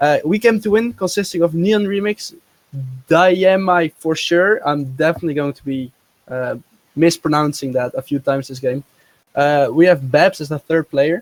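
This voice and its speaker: This man's fairly high voice moves at a moderate pace with ordinary pitch variation and big swings in loudness, in a non-native accent, recorded with a dry, close sound and no echo. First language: not English. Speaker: esports co-caster. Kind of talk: live commentary.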